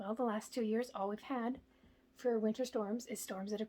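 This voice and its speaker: A woman speaks quietly at a fairly high pitch. Her intonation is monotone and flat. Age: 20s. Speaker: home DIY vlogger. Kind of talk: casual vlog talk. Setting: indoors at home.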